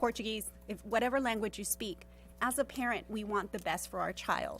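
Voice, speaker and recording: This woman speaks with a Spanish accent. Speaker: parent speaking at public comment. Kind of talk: public comment at board meeting.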